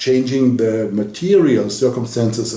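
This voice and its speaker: A man speaks with a German accent. Noticeable background noise sits behind his voice. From Germany. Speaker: spiritual coach. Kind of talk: direct-to-camera message.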